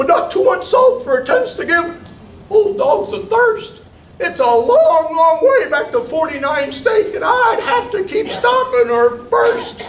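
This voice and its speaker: An extremely high-pitched put-on character voice with very wide pitch swings, a fairly slow pace and slight echo. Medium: stage play. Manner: polite, genteel.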